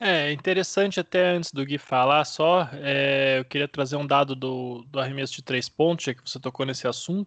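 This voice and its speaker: A man with a plain, everyday voice, fairly high pitch and ordinary pitch variation, at a moderate pace with hardly any pauses, in a dry, close sound with no echo. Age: 30s. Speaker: basketball podcast host. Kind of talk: casual sports analysis chat.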